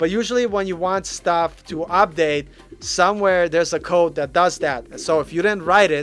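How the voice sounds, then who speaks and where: Music plays in the background as a speaker with an American accent talks with ordinary pitch variation. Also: man. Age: 40s. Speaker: web developer and coding YouTuber. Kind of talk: live stream Q&A. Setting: live stream. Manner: casual, filler-heavy.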